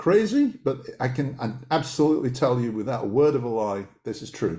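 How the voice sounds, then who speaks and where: This man talks at a fairly quick clip with lively intonation and hardly any pauses. His voice is somewhat breathy. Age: 60s. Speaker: author and dowser. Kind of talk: casual interview chat. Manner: hesitant, many repetitions.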